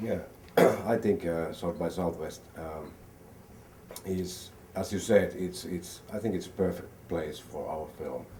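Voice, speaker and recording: A man with a very deep, low pitch and a dark, mellow tone speaks somewhat breathily at a fairly slow pace, with long, frequent pauses. His pitch varies in an ordinary way, and audible room echo surrounds him. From Finland. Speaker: film producer. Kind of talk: interview.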